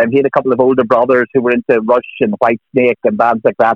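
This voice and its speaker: Delivered at a very fast pace, the speech has fairly even intonation in a Northern Irish accent. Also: man. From Northern Ireland. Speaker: music author. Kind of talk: radio interview. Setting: phone call.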